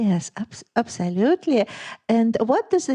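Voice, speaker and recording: A woman with a fairly high pitch and a dark, mellow tone speaks at a fairly slow pace. The sound is dry and close with no echo over a quiet background. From Lithuania. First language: Lithuanian. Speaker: podcast host. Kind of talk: interview.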